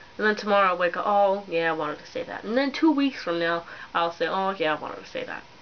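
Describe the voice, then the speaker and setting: Mumbling at a very fast pace, a woman talks at a medium pitch with lively intonation. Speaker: vlogger. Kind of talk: casual vlog. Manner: rambling, hesitant.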